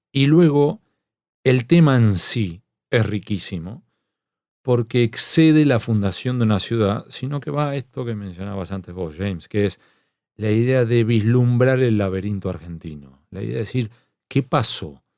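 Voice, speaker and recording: Over a silent background in a very clean recording, a man speaks fairly slowly at a medium pitch, with lively intonation and a dark, mellow tone. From Argentina, La Plata. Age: 40s. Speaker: journalist and novelist. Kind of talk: interview conversation.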